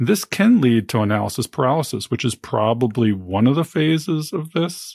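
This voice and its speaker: A man's medium-pitched voice, an ordinary speaking voice, with ordinary pitch variation and a moderate pace, in a very clean recording with a silent background and a dry, close sound with no echo. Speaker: physician and podcast host. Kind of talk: podcast interview.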